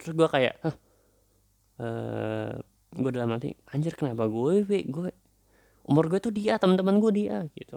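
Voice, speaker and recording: A man with a fairly high pitch moves at a moderate pace through very wide pitch swings and long, frequent pauses, the sound dry and close with no echo. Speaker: podcaster. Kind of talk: casual monologue. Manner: halting, many fillers.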